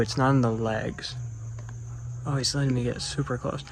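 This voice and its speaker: A man's medium-pitched voice at a fairly quick pace. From United States. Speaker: nature vlogger. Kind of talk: casual educational vlog. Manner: casual, with frequent fillers.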